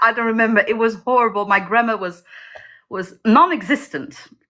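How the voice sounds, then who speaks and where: At a fairly quick pace, a woman speaks in a fairly high pitch with a bright, sharp tone. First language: not English. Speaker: indie fantasy author. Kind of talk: interview. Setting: livestream video call.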